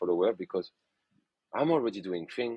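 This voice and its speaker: A man with a French accent speaks at a fairly quick pace. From France, Burgundy. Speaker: photographer. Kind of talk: podcast interview. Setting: podcast.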